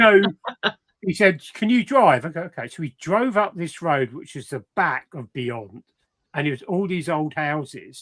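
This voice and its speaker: This man has a southern English accent and a high pitch with very wide pitch swings and big swings in loudness. He speaks at a fairly slow pace, and the sound is dry and close with no echo. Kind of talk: casual chat. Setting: live stream video call.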